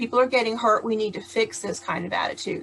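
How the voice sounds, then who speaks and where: A woman is speaking. Her voice is loud. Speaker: charity founder and patient advocate. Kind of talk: prerecorded talk. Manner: occasionally stumbling and stuttering.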